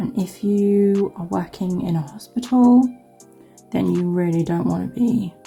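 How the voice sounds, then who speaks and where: Music plays in the background as the speaker talks with a southern English accent. The pace is fairly slow, with ordinary pitch variation. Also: woman, medium pitch for a woman. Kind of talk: casual nail tutorial talk to camera. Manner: chatty, rambling.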